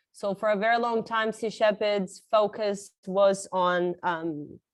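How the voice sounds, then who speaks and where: Speaking very slowly with a slight Australian accent, a woman keeps her intonation fairly even. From Brazil. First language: Portuguese. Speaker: marine conservationist. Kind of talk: conference talk.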